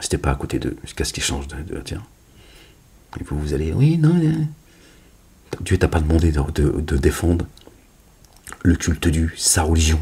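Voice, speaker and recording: At a moderate pace and with long, frequent pauses, a man speaks in a very deep, low voice with vocal fry and a dark, mellow tone. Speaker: religious commentator. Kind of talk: casual religious monologue video. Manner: loud; animated.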